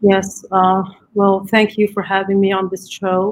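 A woman with an Arabic accent, medium in pitch, in a flat monotone at a moderate pace. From Gaza, Palestine. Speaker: writer, mother. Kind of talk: interview.

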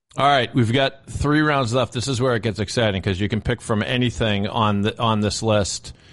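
Against a quiet background, a man with a normal speaking voice talks at a moderate pace, his fairly low pitch showing ordinary variation. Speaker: podcast producer. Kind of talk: comedic segment banter.

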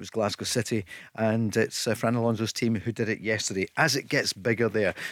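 A man with an unremarkable speaking voice at a medium pitch, fairly quick in pace and fairly even in intonation, on a very clean recording with a silent background. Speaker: radio host. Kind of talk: casual chat. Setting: studio.

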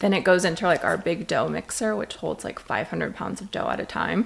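Speaking at a moderate pace, a woman in an American accent is heard against noticeable background noise. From Las Vegas, Nevada. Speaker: donut shop owner. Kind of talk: casual interview chat.

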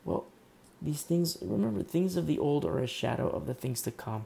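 With a dark, mellow tone and a somewhat breathy quality, a man talks at a moderate pace, his pitch swinging very widely. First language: not English. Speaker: pastor. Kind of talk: sermon. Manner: halting.

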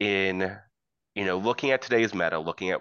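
In an American accent, a man with a very deep, low pitch speaks at a moderate pace with ordinary pitch variation. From US South. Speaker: tabletop gamer. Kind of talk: casual chat.

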